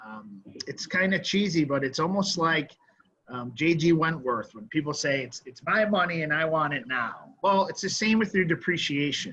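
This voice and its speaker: This man has an ordinary speaking voice, pitched fairly high, at a moderate pace. His intonation is lively and his loudness swings widely. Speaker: cost segregation tax consultant, panelist. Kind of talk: panel presentation.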